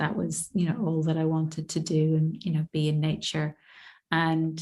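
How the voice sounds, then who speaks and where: With an Irish accent, a woman speaks at a fairly low pitch on a very clean recording with a silent background. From Ireland, east coast between Dublin and Belfast. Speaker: visibility mentor and poet. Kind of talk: podcast interview. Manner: gentle, soft-spoken; halting, self-correcting.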